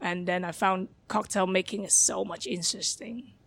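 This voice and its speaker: On a very clean recording with a silent background, the speaker talks at a moderate pace with a Hong Kong accent. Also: woman. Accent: Hong Kong Cantonese-accented English. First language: Cantonese. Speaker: bar manager. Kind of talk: interview. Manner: halting; shy.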